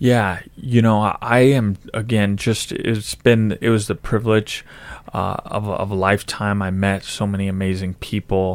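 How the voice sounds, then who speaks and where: Delivered at a fairly slow pace with fairly even intonation, this is a plain, everyday voice. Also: man, fairly low pitch for a man. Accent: American. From Idaho, Nampa. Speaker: politician and army veteran. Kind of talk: interview.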